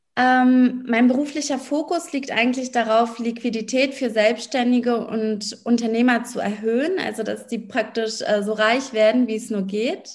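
A woman's normal speaking voice, fairly high in pitch, with ordinary pitch variation at a fairly slow pace. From Berlin, Germany. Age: 30s. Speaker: lawyer and business coach. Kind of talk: interview.

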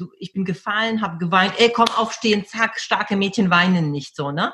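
Using a plain, everyday voice, a woman talks at a moderate pace and medium pitch, with ordinary pitch variation. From Poland until age 12, then Germany. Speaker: personal development coach and speaker. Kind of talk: interview conversation.

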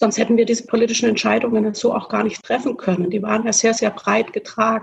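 A woman talks at a very fast pace with hardly any pauses, her voice fairly high and somewhat breathy. Her intonation stays monotone and flat. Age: 40s. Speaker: state legislator. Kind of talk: casual panel discussion. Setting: video call from home.

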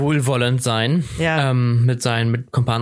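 This is a man's voice at medium pitch. He keeps his intonation fairly even. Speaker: podcast co-host. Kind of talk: casual chat.

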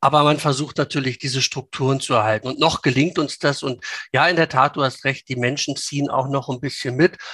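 A man's fairly high voice, bright and sharp in tone, at a fairly quick pace with fairly even intonation, in a dry, close recording with no echo. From Lower Saxony, Hanover region. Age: 50s. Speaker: local politician. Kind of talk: interview. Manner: hesitant with many fillers.

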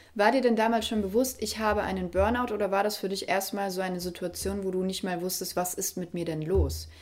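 Hardly any pauses break this normal speaking voice, which moves at a fairly quick pace with fairly even intonation. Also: woman, medium pitch for a woman. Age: 20s. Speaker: podcast and video interview host. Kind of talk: interview conversation.

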